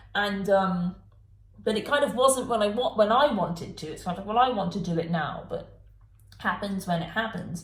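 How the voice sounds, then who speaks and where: The tone is animated and somewhat breathy. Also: woman, medium pitch for a woman, ordinary pitch variation, moderate pace. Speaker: tarot reader. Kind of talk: tarot reading monologue.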